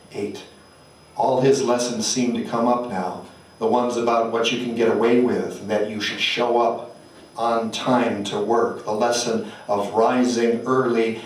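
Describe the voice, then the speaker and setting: In an intense, gravelly voice at a medium pitch, a man speaks at a fairly slow pace with audible room echo. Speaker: poet. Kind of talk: poetry reading. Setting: stage with audience. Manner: intense, incantatory, rhythmic; emphatic, gritty delivery. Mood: solemn, measured. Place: hall.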